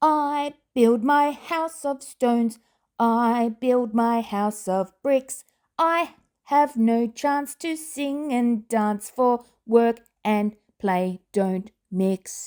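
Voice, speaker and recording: A high-pitched, female-sounding put-on character voice speaks at a very slow pace. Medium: read story.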